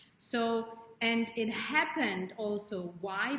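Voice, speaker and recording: A woman's fairly high voice with a non-native accent. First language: not English. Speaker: life coach. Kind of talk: live stream talk to viewers. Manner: animated; halting.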